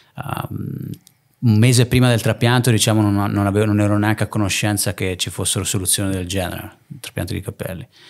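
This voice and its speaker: Against a quiet background, a man with a fairly low voice talks at a very fast pace with fairly even intonation. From northern Italy (Lake Garda area), born in Naples; Northern Italy. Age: 30s. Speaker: entrepreneur, hair transplant clinic owner; podcast guest. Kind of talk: casual interview chat. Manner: halting, frequent repetitions and fillers. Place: home room. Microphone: studio mic.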